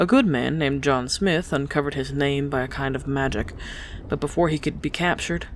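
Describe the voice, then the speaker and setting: Clear background noise sits under the talking. The delivery is moderately paced, with normal rises and falls in pitch. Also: woman. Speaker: audiobook narrator. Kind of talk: audiobook sample reading.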